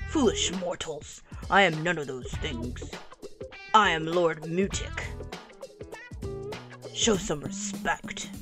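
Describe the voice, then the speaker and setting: A woman uses a put-on character voice at medium pitch and a fairly slow pace. Clear music plays in the background. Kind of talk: comic overacting. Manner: pompous, condescending, then bored and lazy.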